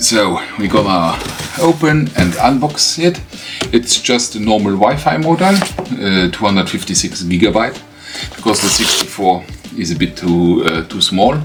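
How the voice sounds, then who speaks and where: In a Luxembourgish accent, the speaker uses very wide pitch swings at a moderate pace, with music playing in the background. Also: man, fairly low pitch for a man. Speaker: tech YouTuber. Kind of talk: unboxing tutorial. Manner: halting, many fillers. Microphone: camera's built-in mic, poor sound.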